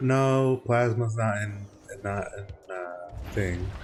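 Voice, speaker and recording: A man speaks with music in the background. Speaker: gaming streamer. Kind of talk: casual gameplay commentary. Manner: halting, many false starts and repetitions.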